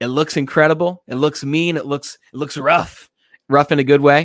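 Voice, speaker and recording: An energetic man speaks at a moderate pace in a fairly high pitch. The sound is dry and close with no echo, on a very clean recording with a silent background. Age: 20s. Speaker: self-improvement show host. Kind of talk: live-streamed motivational talk. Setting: livestream with comments.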